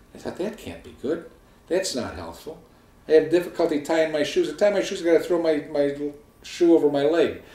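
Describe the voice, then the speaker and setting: A man with an unremarkable speaking voice talks at a fairly quick pace with fairly even intonation. His pitch sits fairly high, and his loudness swings a lot. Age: 60s. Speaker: weight-loss surgery patient. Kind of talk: personal testimony to camera. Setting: home video filmed by wife. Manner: casual conversational.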